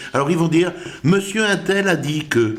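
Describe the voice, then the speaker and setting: A man with a high pitch uses lively intonation as he talks at a fairly slow pace. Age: 60s. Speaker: personal development coach. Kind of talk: motivational talk. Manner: animated.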